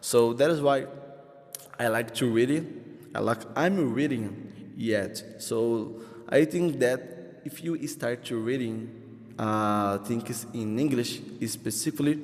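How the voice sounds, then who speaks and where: A man talks at a very slow pace in a medium pitch. His pitch varies in an ordinary way. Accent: Brazilian Portuguese. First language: Portuguese. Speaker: English learner vlogger. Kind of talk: casual vlog monologue. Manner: halting, many fillers and restarts.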